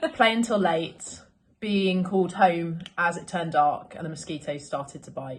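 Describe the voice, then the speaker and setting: A woman's fairly low, somewhat breathy voice with a British accent, at a fairly slow pace. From London, England. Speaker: local resident reminiscing. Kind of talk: scripted narration.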